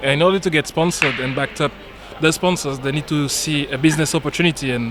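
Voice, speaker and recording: Very fast speech in a French accent, ordinary pitch variation, noticeable background noise. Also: man. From French Caribbean island. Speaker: billiards industry guest. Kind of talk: casual chat during live commentary.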